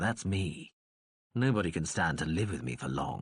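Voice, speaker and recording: Growling in a put-on character voice, a man uses very deep, low pitch and lively intonation at a moderate pace. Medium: read story. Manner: calm, quiet, dry.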